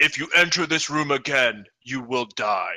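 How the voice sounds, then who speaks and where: This man is doing a put-on character voice. His pitch sits fairly high for a man. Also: moderate pace, ordinary pitch variation. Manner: menacing.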